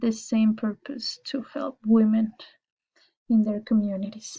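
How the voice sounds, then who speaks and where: A woman with a Spanish accent speaks slowly-ish, at a fairly slow pace, in a fairly high pitch. Her voice is somewhat breathy with a dark, mellow tone and monotone, flat intonation. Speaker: university student. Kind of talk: class presentation. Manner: formal.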